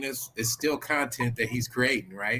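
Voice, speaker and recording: In an American accent, a man talks at a moderate pace. His pitch is medium. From Oklahoma. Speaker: Navy veteran and public servant. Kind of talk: casual chat.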